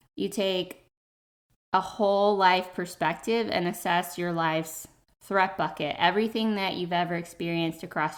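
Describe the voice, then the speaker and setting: A woman's fairly low voice at a moderate pace with fairly even intonation. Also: very clean recording, silent background. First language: not English. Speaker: podcast host and health coach. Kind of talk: casual monologue podcast. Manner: conversational with fillers.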